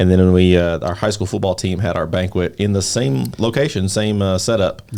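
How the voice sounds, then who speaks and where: A man talks in an ordinary speaking voice, fairly low-pitched, with ordinary pitch variation. The recording is very clean, with a silent background. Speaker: podcast host. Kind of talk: podcast intro and casual conversation.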